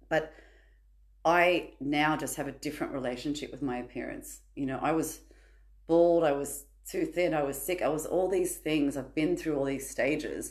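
A woman speaks with an Australian accent at a moderate pace. Audible room echo is present. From Sydney, Australia. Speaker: podcast guest sharing personal story. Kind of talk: personal testimony in casual chat.

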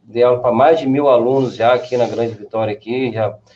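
This man has a medium-pitched voice. His tone is dark and mellow. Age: 40s. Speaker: graffiti artist and social educator. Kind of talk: casual chat.

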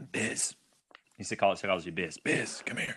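A man does a put-on character voice, raspy and gravelly. The pitch is very deep and low, at a moderate pace.

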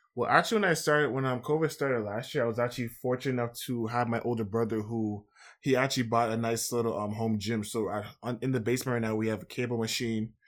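A man speaks very fast at a medium pitch with a Toronto accent and fairly even intonation. The recording is very clean, with a silent background. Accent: Toronto Canadian English. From Scarborough, Toronto, Canada. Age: 20s. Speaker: university basketball player and activist. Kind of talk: podcast interview.

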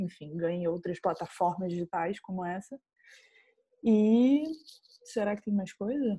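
Somewhat breathy with a dark, mellow tone, a woman speaks at a moderate pace with ordinary pitch variation in a dry, close recording with no echo. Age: 20s. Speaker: filmmaker. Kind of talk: interview.

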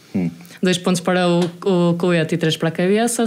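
With noticeable background noise present, a woman speaks very fast in a fairly low voice with fairly even intonation. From northern Portugal, Vila Nova de Gaia / Santa Maria da Feira. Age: 20s. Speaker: taekwondo athlete. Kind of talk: casual interview.

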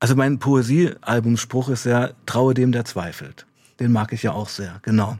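A man talks at a medium pitch and a fairly slow pace, with ordinary pitch variation, in an unremarkable speaking voice. The recording is very clean, with a silent background. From eastern Germany, Saxony-Anhalt (Weißenfels). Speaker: author and former addict, addiction counselor. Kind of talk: radio interview.

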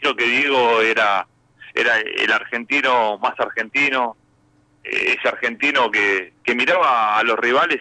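A bright, sharp male voice at medium pitch. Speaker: football club director. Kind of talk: radio interview.

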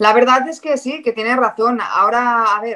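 Bright, sharp tone in a Catalan accent. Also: woman. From Catalonia (Figueres). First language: Catalan (speaking Spanish). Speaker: sports reporter. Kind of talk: casual interview chat.

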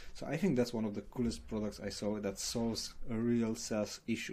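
Medium in pitch, a man speaks with a Romanian accent. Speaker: paid ads manager. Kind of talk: interview.

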